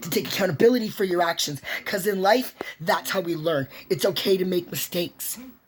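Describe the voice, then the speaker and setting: A woman at medium pitch, animated and fairly quick, with ordinary pitch variation and noticeable background noise. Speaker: vlogger. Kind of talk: personal monologue. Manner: loud.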